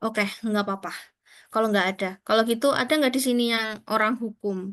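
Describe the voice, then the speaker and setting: A woman speaks with a strong East Javanese accent at a fairly high pitch. The background is quiet. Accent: strong East Javanese (medok) Indonesian. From Kediri, East Java, Indonesia. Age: 20s. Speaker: career talk speaker, scholarship alumna. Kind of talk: online career talk to students. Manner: casual, conversational with fillers.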